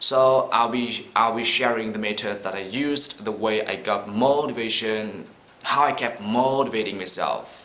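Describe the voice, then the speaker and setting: A man is speaking. The recording carries noticeable background noise and audible room echo. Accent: Vietnamese. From Vietnam. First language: Vietnamese. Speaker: vlogger. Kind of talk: casual vlog talk to camera. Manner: halting.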